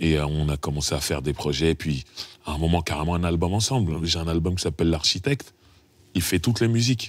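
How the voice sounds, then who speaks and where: Delivered at a very fast pace with ordinary pitch variation, the sound is dry with no echo. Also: man, very deep, low pitch for a man. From France, Paris suburbs (Sarcelles); France. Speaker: rapper; interviewee. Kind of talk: casual chat. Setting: studio. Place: studio.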